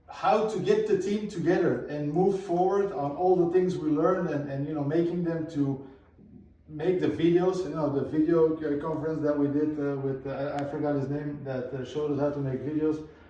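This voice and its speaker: Over audible room echo, a man talks at a moderate pace in a fairly high voice with fairly even intonation. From Belgium. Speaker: non-profit founder, competition winner. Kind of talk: live event interview. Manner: halting, repeats words.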